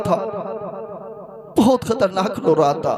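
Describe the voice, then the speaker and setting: A man speaks with lively intonation. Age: young. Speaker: Islamic preacher. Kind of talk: religious sermon. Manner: emotional storytelling.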